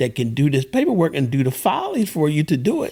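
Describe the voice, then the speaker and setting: A man at a fairly high pitch, speaking at a very fast pace. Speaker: host's father, podcast guest. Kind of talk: casual chat. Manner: halting.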